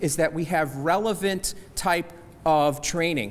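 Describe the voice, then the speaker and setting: A man with an American accent speaks at a high pitch with lively intonation. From New Jersey. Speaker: small business agency representative. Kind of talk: seminar presentation. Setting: church hall with audience. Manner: fast.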